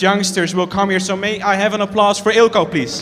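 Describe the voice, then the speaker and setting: Amid noticeable background noise and audible room echo, a man talks at a fairly quick pace in a monotone, flat intonation. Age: 20s. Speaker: technology expert. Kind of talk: panel discussion. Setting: stage with audience.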